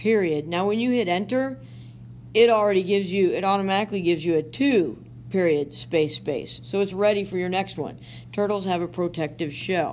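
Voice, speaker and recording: A woman talks at medium pitch and a fairly quick pace with ordinary pitch variation. She has an unremarkable speaking voice. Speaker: teacher. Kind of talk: tutorial.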